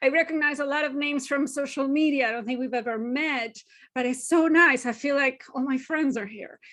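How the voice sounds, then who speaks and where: Speaking at a fairly quick pace, a woman with a Spanish accent has a high pitch and fairly even intonation. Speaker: university language educator. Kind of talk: webinar lecture. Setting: online webinar.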